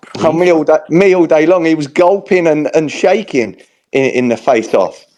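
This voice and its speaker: A man with a Cockney accent talks in an animated tone at a moderate pace. His pitch is fairly high with ordinary variation. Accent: London Cockney. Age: 40s. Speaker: boxer. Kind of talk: heated debate. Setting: online audio space.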